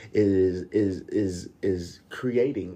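Against a quiet background, a man speaks in a dark, mellow tone that is somewhat breathy. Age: 30s. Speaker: podcast host. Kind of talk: personal monologue. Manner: halting, repeats words.

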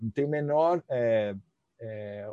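A man speaks at a fairly slow pace with a dark, mellow tone and lively intonation. The sound is dry and close with no echo, over a quiet background. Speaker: physiotherapist and professor. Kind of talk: casual interview.

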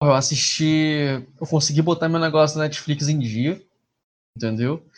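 A somewhat breathy, fairly high male voice at a fairly slow pace, with ordinary pitch variation and a quiet background. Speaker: podcast guest. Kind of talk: casual chat.

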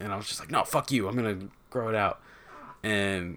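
An ordinary speaking voice with an American accent moves at a fairly quick pace and keeps a fairly even intonation. The recording is very clean, with a silent background. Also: man. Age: 20s. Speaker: podcast host. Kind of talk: casual chat.

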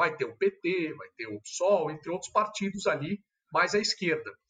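A man with a high pitch and lively intonation at a moderate pace. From São Paulo, Brazil. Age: 30s. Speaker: politician. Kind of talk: casual interview.

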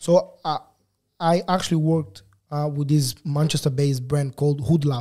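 Fairly high for a man, this somewhat breathy voice has a dark, mellow tone, fairly even intonation and a moderate pace. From Lisbon, Portugal (born in Angola). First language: Portuguese. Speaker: photographer. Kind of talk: casual interview.

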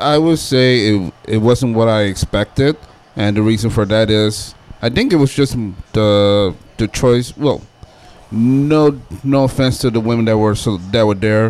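This is an ordinary speaking voice, delivered at a fairly slow pace. Loudness stays very even, and pitch varies in an ordinary way. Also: man, medium pitch for a man. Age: 30s. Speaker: podcast guest. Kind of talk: casual chat.

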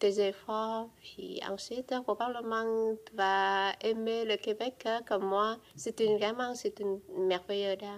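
A very slow voice in a Vietnamese accent, with fairly even intonation and big swings in loudness. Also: woman. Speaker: immigrant witness. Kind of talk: testimony.

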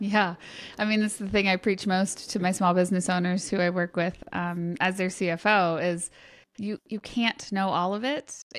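Heard in a very clean recording with a silent background, a woman with an unremarkable speaking voice talks at medium pitch and a moderate pace, her intonation fairly even. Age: 40s. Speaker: finance and accounting consultant. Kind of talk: interview.

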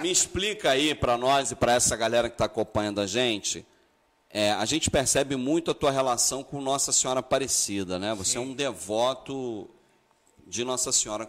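A man at a medium pitch, fairly quick in pace, with ordinary pitch variation. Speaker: podcast host and festival organizer. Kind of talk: casual live interview chat. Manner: animated, energetic.

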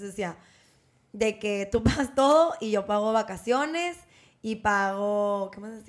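A woman's medium-pitched voice, with ordinary pitch variation, comes through on a very clean recording over a silent background. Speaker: podcast co-host. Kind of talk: casual chat.

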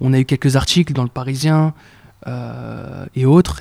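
This man's voice has a dark, mellow tone at a medium pitch with fairly even intonation. The sound is dry and close, with no echo. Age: 20s. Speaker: entrepreneur. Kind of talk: casual interview. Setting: in person office. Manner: hesitant, repeats words.

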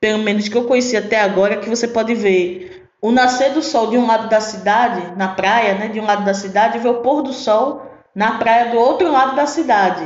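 A woman's fairly high voice at a moderate pace, with a Pernambuco accent, ordinary pitch variation and audible room echo. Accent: Pernambuco accent, noticeable. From Recife, Pernambuco, Brazil. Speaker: podcast host. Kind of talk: casual monologue. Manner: animated.

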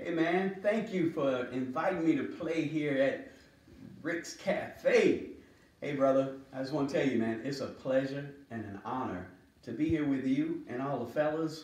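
Using an ordinary speaking voice, a man talks at a fairly slow pace in a fairly high pitch with ordinary variation. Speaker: drummer. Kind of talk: casual greeting.

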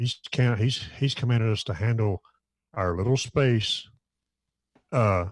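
Somewhat breathy, a man talks at a moderate pace. His pitch moves in an ordinary way. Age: 50s. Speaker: bass player. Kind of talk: casual chat. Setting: video call.

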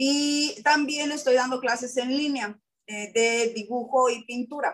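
A woman's high-pitched voice at a very slow pace. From Acapulco, Mexico. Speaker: art teacher. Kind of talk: panel discussion.

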